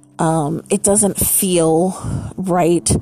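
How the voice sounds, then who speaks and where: A woman talks at a fairly low pitch, with noticeable background noise in the recording. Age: 40s. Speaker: podcast host and burlesque performer. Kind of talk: personal monologue. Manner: hesitant, with many fillers.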